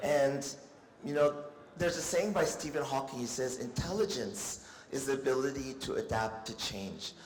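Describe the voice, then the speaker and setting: A man talks with lively intonation over noticeable background noise, with audible room echo. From United States. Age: 50s. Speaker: doctor. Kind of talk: lecture. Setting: stage with audience.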